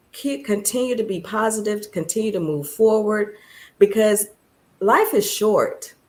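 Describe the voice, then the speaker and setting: A woman speaks in an unremarkable speaking voice with a fairly high pitch and ordinary pitch variation. The recording is very clean, with a silent background. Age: 60s. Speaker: guest, studio owner. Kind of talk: motivational talk in casual chat.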